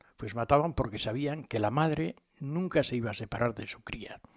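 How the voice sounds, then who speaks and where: Speaking at a fairly quick pace, a man uses a normal speaking voice at medium pitch. His intonation is lively. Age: 60s. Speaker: local history radio host. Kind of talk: informal history talk. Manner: conversational, frequent fillers.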